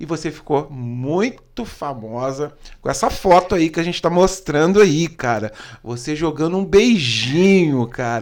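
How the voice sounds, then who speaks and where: A man's fairly high voice, animated in tone, at a fairly slow pace. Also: lively intonation. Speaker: podcast host. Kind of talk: casual interview.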